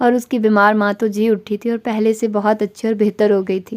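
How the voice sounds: A natural reading voice is heard here.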